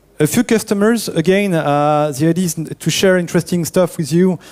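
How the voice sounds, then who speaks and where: A man speaks in a French accent. His tone is dark and mellow. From France. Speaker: network engineer presenting at a conference. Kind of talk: conference talk.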